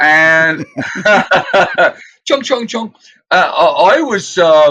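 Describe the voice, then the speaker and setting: A man's very slow speech in a bright, sharp tone, with a British accent. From England. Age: 70s. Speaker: musician. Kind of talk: casual interview chat.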